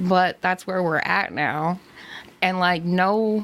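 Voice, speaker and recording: A woman with a normal speaking voice, medium pitch and ordinary pitch variation, at a fairly slow pace. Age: 30s. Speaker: podcast co-host. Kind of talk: casual chat.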